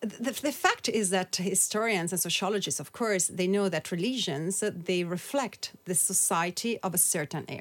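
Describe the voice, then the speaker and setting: A woman with an Italian accent, hardly any pauses in her speech. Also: medium pitch for a woman, ordinary pitch variation, moderate pace. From Italy. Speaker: author and activist. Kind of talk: interview.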